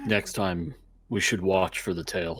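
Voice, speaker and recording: Over faint music in the background, a put-on character voice moves at a fairly slow pace with ordinary pitch variation. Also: man. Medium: actual play.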